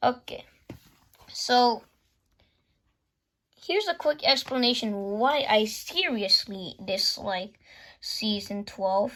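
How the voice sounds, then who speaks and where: A woman's high-pitched voice with lively intonation, a very slow pace and long, frequent pauses. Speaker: YouTuber reviewing DVD collection. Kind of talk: casual show-and-tell review. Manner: halting, many false starts.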